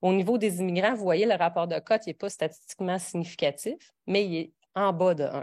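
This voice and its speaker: A woman speaks at a medium pitch. She has a Quebec accent. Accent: regional Quebec French. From Quebec (a region outside Montreal). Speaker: professor. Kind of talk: lecture. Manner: halting, many fillers and restarts.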